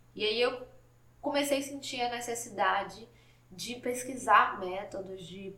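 With noticeable background noise and audible room echo, a woman speaks very slowly with ordinary pitch variation. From Salvador, Bahia, Brazil. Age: 20s. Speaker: podcast host, journalism student. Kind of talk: solo podcast monologue.

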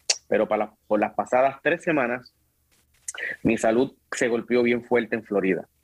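Using a plain, everyday voice, a man at a medium pitch talks at a moderate pace with ordinary pitch variation. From Puerto Rico, Carolina and Bayamón. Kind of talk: casual interview.

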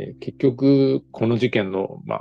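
With music playing behind him, a man talks at a medium pitch with lively intonation. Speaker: novelist. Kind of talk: author interview. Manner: measured with frequent fillers.

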